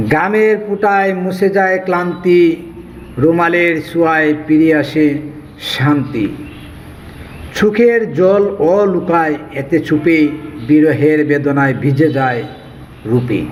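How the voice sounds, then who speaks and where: A man with a fairly high pitch, heard over noticeable background noise. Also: ordinary pitch variation, very even loudness. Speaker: poet. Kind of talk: poetry reading. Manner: emotional.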